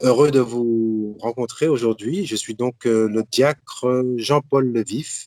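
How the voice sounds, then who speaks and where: In a dry, close sound with no echo, a man at a medium pitch speaks at a very slow pace. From Martinique. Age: 60s. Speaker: deacon and Bible teacher. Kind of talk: religious teaching talk.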